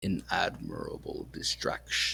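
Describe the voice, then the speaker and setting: A man puts on a raspy character voice. He delivers it at a fairly slow pace. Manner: dark.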